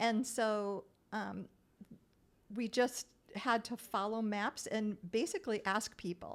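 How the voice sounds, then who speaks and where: A woman with a Great Lakes accent speaks at a fairly high pitch with fairly even intonation. Her pace is very slow with long, frequent pauses, on a very clean recording with a silent background. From Minnesota, US. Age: 60s. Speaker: retired real estate agent and traveler. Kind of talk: interview storytelling.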